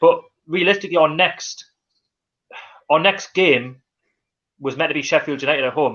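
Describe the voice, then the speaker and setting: Someone with a Geordie accent speaks at a moderate pace with long, frequent pauses. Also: man, fairly high pitch for a man, ordinary pitch variation. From North East England (Newcastle). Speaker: football fan channel host. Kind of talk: live stream chat. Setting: live stream. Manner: halting.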